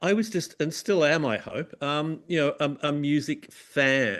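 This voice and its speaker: In an Australian accent, a man speaks at a moderate pace with a fairly high pitch and ordinary pitch variation, on a very clean recording with a silent background. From Tasmania, Australia (Launceston). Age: 60s. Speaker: music journalist. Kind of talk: interview. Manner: halting, many fillers and repeats.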